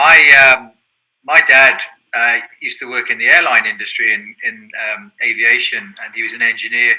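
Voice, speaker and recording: Showing big swings in loudness, a man with an English accent speaks at a moderate pace. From southern England. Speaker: soccer league president. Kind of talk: interview. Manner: hesitant, many fillers.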